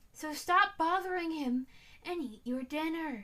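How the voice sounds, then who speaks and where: A woman's put-on character voice, extremely high in pitch, with lively intonation and a moderate pace. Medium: read story. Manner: stern.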